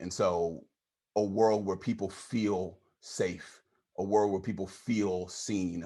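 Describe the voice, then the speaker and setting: A man's fairly low, monotone voice with flat intonation on a very clean recording with a silent background. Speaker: diversity trainer, workshop facilitator. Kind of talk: training workshop talk.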